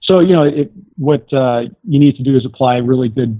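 A man with an unremarkable speaking voice, medium pitch and a moderate pace. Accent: American. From raised overseas (Tehran, Beirut, Greece), then Seattle area. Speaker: astronaut and doctor. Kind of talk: interview.

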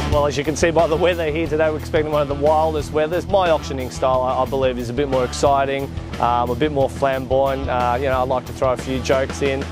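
A man's medium-pitched voice with an Australian accent, very fast and with hardly any pauses, swinging very widely in pitch, in a dry sound with no echo and clear music in the background. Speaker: real estate auctioneer. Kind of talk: interview answer. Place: garden. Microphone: lapel.

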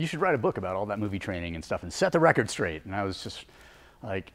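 Speaking at a very fast pace with an American accent, the man's pitch swings very widely. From western US, national parks. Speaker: fitness trainer and mountaineer; fitness trainer. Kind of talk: casual chat. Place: gym.

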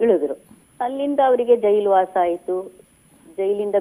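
Her tone dark and mellow, a woman talks with ordinary pitch variation. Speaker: writer's daughter sharing memories. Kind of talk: radio interview.

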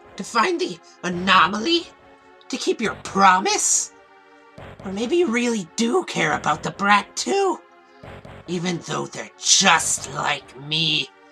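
Over clear background music, a female-sounding voice does a put-on character voice at medium pitch and a fairly slow pace. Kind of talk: comic dub. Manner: mocking, taunting.

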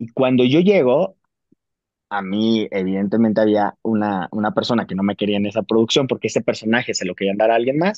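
A man speaks with a Mexican accent. His pace is moderate. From Mexico (Jalisco). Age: 40s. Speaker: actor. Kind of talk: casual interview.

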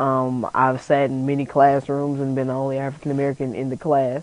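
In dry sound with no echo, a man speaks at a moderate pace. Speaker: student and college radio DJ. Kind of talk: interview. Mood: calm, reflective. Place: studio.

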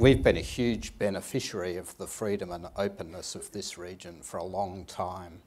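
A man's very deep, low voice with hardly any pauses. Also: ordinary pitch variation, moderate pace, big swings in loudness. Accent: Australian. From Australia. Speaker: intelligence official. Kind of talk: panel discussion. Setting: stage with audience. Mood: calm, measured, formal. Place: stage. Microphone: lapel.

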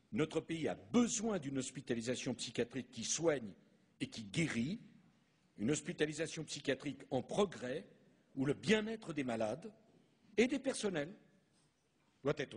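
A somewhat breathy man with long, frequent pauses. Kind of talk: formal public speech. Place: hall. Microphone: podium.

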